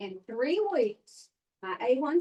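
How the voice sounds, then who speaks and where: A woman with a Mississippi accent speaks in a dark, mellow tone with lively intonation. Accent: Southern US (Mississippi). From US South. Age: 80s+. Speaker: customer testimonial speaker. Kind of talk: testimony.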